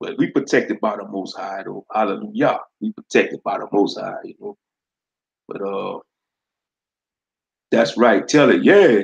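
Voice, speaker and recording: A man talks with a Louisiana accent. His pace is moderate. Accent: Louisiana southern. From Louisiana, US South. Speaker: livestreamer, gaming commentator. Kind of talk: casual livestream chat. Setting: live stream.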